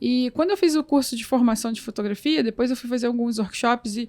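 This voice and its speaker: A soft-spoken woman at a fairly quick pace. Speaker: photographer and photography teacher. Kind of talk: interview conversation.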